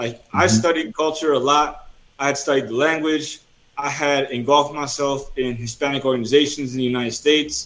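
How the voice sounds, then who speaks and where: A man with an American accent and an ordinary speaking voice talks at a fairly quick pace, his fairly high pitch following fairly even intonation. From New Jersey, US. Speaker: missionary and author. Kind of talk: interview.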